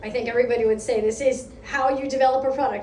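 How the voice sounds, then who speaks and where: A woman with an American accent speaks at a fairly quick pace in a high pitch, with audible room echo and noticeable background noise. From United States. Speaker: product lead speaker at a meetup. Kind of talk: conference talk.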